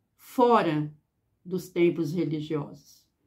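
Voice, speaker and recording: Over a quiet background, a woman with a dark, mellow tone speaks very slowly. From Brazil. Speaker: teacher and spirituality youtuber; teacher, spirituality youtuber. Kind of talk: reflective monologue. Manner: hesitant, with filler 'é'. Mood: earnest, reflective. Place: home room. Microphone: phone near.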